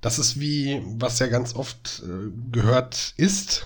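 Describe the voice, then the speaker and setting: The man's voice is somewhat breathy. It sits at a medium pitch and varies in an ordinary way. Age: 30s. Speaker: podcast co-host, educator. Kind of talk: casual chat.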